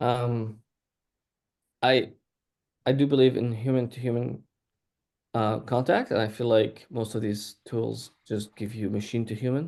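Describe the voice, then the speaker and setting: Pausing often and at length, a man speaks at a fairly slow pace and medium pitch with fairly even intonation. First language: not English. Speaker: startup CEO. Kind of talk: panel discussion.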